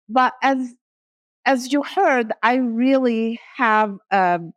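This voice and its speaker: In a dry, close sound with no echo, a woman with a non-native accent speaks at a fairly high pitch. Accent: noticeable foreign. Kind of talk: conference talk. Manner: animated.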